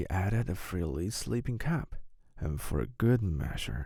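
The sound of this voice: A man speaks slowly at a low pitch with vocal fry and a dark, mellow tone. His pitch makes big swings.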